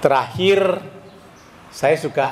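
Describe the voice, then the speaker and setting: With ordinary pitch variation and a moderate pace, a man speaks against noticeable background noise. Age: 70s. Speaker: former stock exchange director at reunion. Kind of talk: reunion speech.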